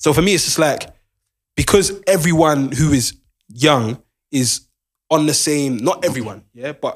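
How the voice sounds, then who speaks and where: Speaking with a London accent, a man uses a fairly high pitch with ordinary pitch variation, moving at a fairly slow pace with long, frequent pauses. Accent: London, multicultural London English. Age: 20s. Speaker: podcast co-host. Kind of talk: casual chat. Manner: animated.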